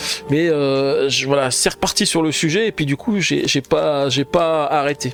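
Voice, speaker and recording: Music plays in the background as a man with a fairly high pitch and ordinary pitch variation talks at a fairly slow pace with hardly any pauses. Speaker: board game youtuber. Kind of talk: solo board game playthrough with live chat. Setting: home live stream, window closed. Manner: loud; hesitant with fillers.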